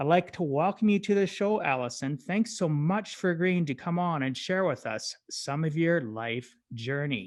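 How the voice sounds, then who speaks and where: This man has an unremarkable speaking voice, fairly high in pitch, with lively intonation. He keeps a moderate pace with hardly any pauses against a quiet background. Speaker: podcast host.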